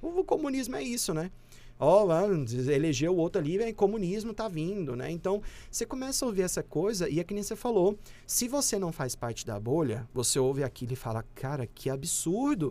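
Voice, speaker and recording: A high, dark, mellow male voice with very wide pitch swings and a fairly quick pace, on a very clean recording with a silent background. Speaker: communication professor. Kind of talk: casual interview.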